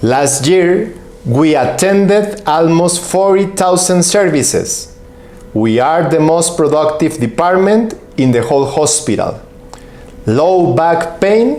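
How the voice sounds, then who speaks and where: With a Mexican accent, this voice moves at a very slow pace with lively intonation and very even loudness, amid noticeable background noise and audible room echo. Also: man. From Mexico. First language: Spanish. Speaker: physician and professor. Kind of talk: conference presentation. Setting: online symposium. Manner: formal.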